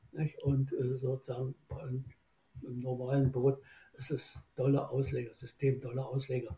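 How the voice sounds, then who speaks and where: A man's somewhat breathy voice with a dark, mellow tone at medium pitch, monotone and flat in intonation, at a moderate pace with long, frequent pauses. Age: 80s+. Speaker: boat designer, former rower. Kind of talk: interview. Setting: remote recording.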